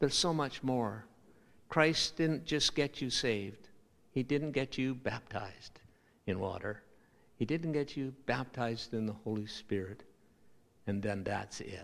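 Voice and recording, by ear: A man speaks slowly at a medium pitch with ordinary pitch variation. His tone is fairly bright, with some vocal fry.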